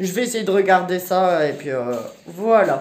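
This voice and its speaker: Audible room echo hangs around this woman's speech. Her voice is pitched in the middle range. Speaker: family vlogger. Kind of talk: casual vlog talk. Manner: casual, hesitant with many fillers.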